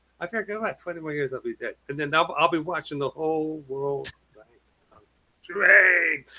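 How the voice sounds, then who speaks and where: A man with a plain, everyday voice and a fairly high pitch, at a moderate pace, with fairly even intonation, big swings in loudness and a dry, close sound with no echo. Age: 60s. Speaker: webinar attendee. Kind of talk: casual chat.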